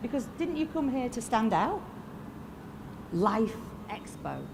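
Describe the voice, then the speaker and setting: A woman with a Yorkshire accent, plus audible room echo. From northern England, Lancashire (Fleetwood). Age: 50s. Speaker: motivational speaker. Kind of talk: motivational keynote speech. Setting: stage with audience. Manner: animated.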